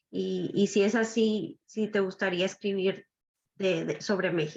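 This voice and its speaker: Speaking at a fairly slow pace, a woman uses a medium pitch with vocal fry. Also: fairly even intonation. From Nuevo Laredo, Tamaulipas, Mexico. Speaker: book club participant. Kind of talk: audience question.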